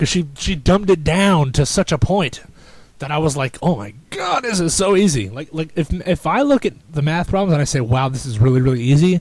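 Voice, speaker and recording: Somewhat breathy and animated, a man with a fairly high pitch talks at a fairly quick pace with lively intonation. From New Jersey. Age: young. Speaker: podcaster. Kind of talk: casual monologue. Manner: stuttering.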